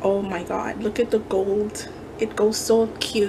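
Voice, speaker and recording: A woman speaks at a very slow pace while noticeable background noise carries on. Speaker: craft haul vlogger. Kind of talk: casual haul show-and-tell. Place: kitchen. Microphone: phone near.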